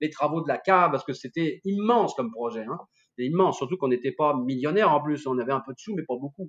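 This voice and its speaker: A man's fairly high voice, very fast and lively in intonation, with a dry, close sound and no echo. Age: 60s. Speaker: winemaker and sommelier. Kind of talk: casual interview. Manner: animated.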